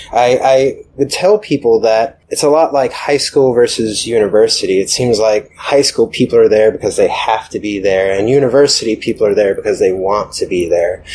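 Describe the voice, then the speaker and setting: Here a man speaks with an American accent. His pace is moderate, with hardly any pauses. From US South, Atlanta. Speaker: software developer. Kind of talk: casual interview. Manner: hesitant, many fillers.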